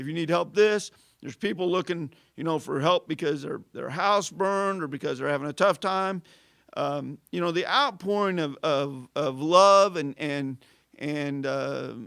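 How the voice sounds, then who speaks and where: With a US Midwestern accent, a man speaks at a fairly high pitch in a bright, sharp tone, recorded very cleanly against a silent background. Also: ordinary pitch variation, moderate pace. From southern Illinois, Carbondale. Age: 50s. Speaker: city employee. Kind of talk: casual interview. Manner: halting, many fillers and restarts.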